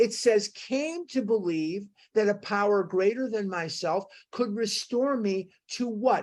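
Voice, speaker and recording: Her voice is fairly high for a woman, with lively intonation. She has an ordinary speaking voice. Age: 60s. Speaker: recovery group study leader. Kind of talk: study group teaching talk.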